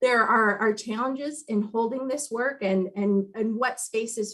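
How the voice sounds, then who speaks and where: Here is a woman with a plain, everyday voice, pitched fairly high. She speaks at a moderate pace with fairly even intonation. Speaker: heritage commission staff member. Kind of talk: meeting presentation.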